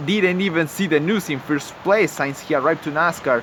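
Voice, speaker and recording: Over noticeable background noise, a man speaks in an animated tone with a non-native accent. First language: not English. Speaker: YouTuber commentator. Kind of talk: improvised commentary. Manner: halting, many fillers; casual, animated.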